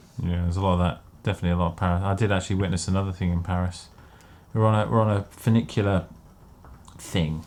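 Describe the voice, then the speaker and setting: Speaking very fast yet with long, frequent pauses, a man with an English accent and a very deep, low voice keeps his intonation fairly even. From England. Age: 30s. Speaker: podcast co-host. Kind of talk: casual chat.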